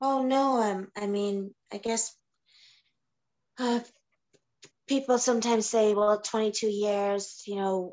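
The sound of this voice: Slow, with long and frequent pauses, a woman speaks at a medium pitch in a slightly mellow tone with fairly even intonation.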